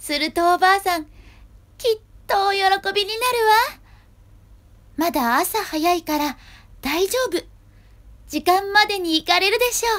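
A woman speaks at a moderate pace with an extremely high pitch and ordinary pitch variation. Her speech has long, frequent pauses. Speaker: actor performing a storybook reading. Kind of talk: children's storybook reading. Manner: gentle storytelling narration.

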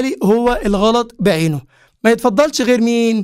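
A man with an Egyptian accent, extremely high-pitched, at a moderate pace over a quiet background. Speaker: English teacher. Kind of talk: lecture.

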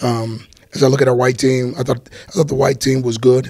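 A man talks at a fairly quick clip with a medium-pitched, somewhat breathy voice and fairly even intonation. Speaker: college football head coach. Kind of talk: press conference. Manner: quiet, can't speak up; halting, with fillers and repetitions.

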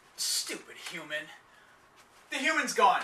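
The speaker uses a put-on character voice at a fairly slow pace. There is a slight echo. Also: man, extremely high pitch for a man. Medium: short film.

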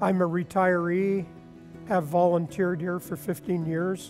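Over clear music in the background, a man with a high voice talks at a moderate pace in a monotone, flat intonation. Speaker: volunteer museum tour guide. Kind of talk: interview answer. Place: hall. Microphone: lapel.

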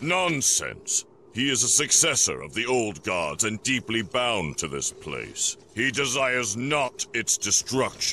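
Slowly and in a put-on character voice, a man speaks at a fairly low pitch with a bright, sharp tone and big pitch swings.

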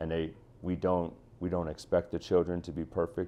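The speaker talks at a moderate pace with an American accent. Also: man. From Chicago, US Midwest. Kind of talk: interview testimony. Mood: earnest, passionate. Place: office. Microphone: lapel.

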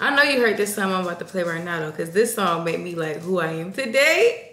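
A woman's voice carries audible room echo. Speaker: channel host. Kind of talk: casual vlog chat. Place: kitchen. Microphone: camera far.

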